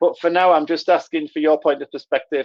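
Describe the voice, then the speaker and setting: This is a man speaking. He has a Middlesbrough accent. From northern England, Middlesbrough. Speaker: author and engagement consultant. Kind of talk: webinar presentation. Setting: online webinar.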